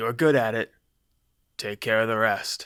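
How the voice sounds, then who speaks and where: Using a put-on character voice, a man booms out at a medium pitch. His intonation stays fairly even, and his pace is moderate. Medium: read story. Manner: gruff, blunt.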